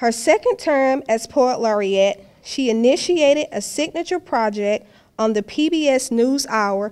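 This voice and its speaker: A high-pitched woman's voice at a very slow pace, with ordinary pitch variation and a quiet background. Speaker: introducer of poets. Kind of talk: reading prepared introductions. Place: hall. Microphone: podium.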